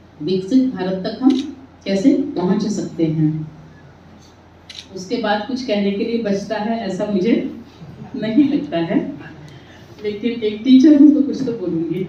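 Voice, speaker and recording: A woman's fairly high, lively voice broken by long, frequent pauses, with audible room echo and noticeable background noise. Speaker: teacher, seminar speaker. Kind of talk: seminar speech. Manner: slow, deliberate.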